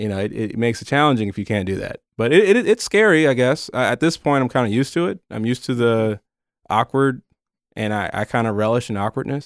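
Talking at a very fast pace with lively intonation, a man with a medium-pitched voice and an American accent is heard in a very clean recording with a silent background and a dry, close sound with no echo. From northern US. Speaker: county community outreach liaison, former TV news worker. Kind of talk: casual interview. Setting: studio.

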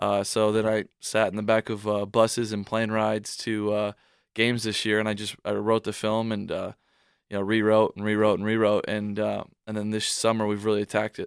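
Recorded very cleanly with a silent background and a dry, close sound with no echo, a man with a fairly low voice speaks at a fairly quick pace in a monotone, flat intonation. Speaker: college athlete and aspiring filmmaker. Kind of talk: radio interview.

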